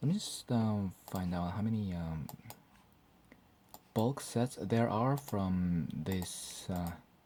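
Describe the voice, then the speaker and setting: At a very slow pace, a man speaks with a fairly low pitch and a dark, mellow tone. His ordinary pitch variation comes with long, frequent pauses. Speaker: hobby video creator. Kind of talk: casual tutorial vlog. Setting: home room at night. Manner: halting, many fillers.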